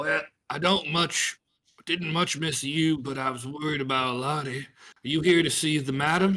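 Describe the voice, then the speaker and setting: Using a put-on character voice, a man speaks raspily at a fairly high pitch and a moderate pace. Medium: actual play. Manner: gruff, blunt, ungrammatical.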